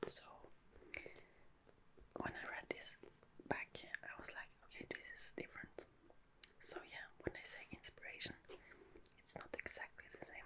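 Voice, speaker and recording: Someone whispers at a moderate pace, with long, frequent pauses. Noticeable background noise is present. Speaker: ASMR creator. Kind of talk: casual talk to camera. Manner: whispered.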